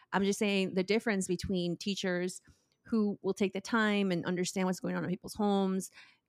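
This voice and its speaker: On a very clean, dry and close recording with a silent background and no echo, a woman with a medium pitch talks at a fairly quick pace in a flat monotone. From Oaxaca, Mexico. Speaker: cookbook author and restaurant owner. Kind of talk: casual interview chat.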